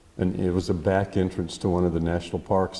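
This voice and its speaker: With an American accent, a man speaks at a very deep, low pitch in a dark, mellow tone with monotone, flat intonation. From Texas, Lubbock. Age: 60s. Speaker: artist. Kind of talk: artist talk conversation.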